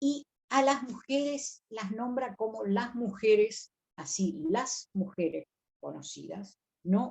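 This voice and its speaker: A woman speaks with a somewhat breathy voice. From Río de la Plata region. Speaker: biblical scholar and lecturer. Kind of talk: lecture on biblical texts.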